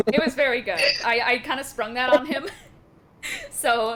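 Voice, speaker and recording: The voice moves at a moderate pace with ordinary pitch variation. Noticeable background noise can be heard. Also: woman. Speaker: dungeon master running a tabletop game stream. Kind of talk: casual chat.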